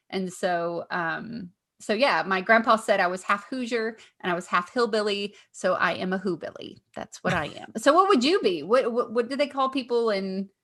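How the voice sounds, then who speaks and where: A woman with a Southern accent talks at a moderate pace and a fairly high pitch. Her tone is animated and her intonation lively. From Kentucky. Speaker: comedian and podcast co-host. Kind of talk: casual chat.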